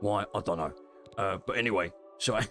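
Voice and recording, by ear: A put-on character voice in an East London accent, gruff and fairly low-pitched, from a man talking at a fairly quick pace with music in the background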